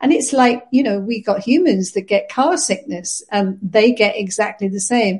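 Somewhat breathy, the voice has a British accent, ordinary pitch variation and a moderate pace. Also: woman. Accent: non-Scottish British English. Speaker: pet sitter and community manager. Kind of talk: casual chat. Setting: remote call from Scotland.

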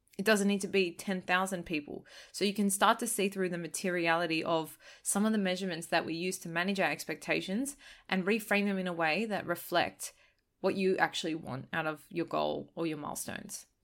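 On a very clean recording with a silent background, a woman has an unremarkable speaking voice at medium pitch, speaking at a fairly quick pace with fairly even intonation. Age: 20s. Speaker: podcast host. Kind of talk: solo podcast monologue. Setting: recording while travelling abroad.

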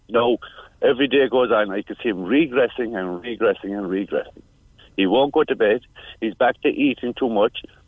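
A man with a Cork accent speaks at a medium pitch and a fairly quick pace. His pitch varies in an ordinary way. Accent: Cork Irish. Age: 50s. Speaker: parent carer. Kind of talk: radio phone-in. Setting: phone call. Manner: halting.

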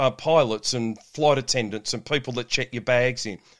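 On a very clean recording with a silent background, a man with an Australian accent speaks at a fairly quick pace with ordinary pitch variation. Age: 50s. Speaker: shift work health coach and police officer. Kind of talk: podcast interview.

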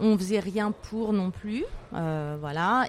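Pitch varies in an ordinary way while the speech unfolds at a very slow pace. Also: woman. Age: 40s. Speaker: entrepreneur. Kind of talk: interview. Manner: hesitant, many fillers.

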